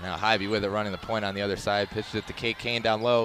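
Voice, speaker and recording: A man rattles off his words at a very fast pace while noticeable background noise runs underneath. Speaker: sports broadcaster. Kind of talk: live play-by-play game call.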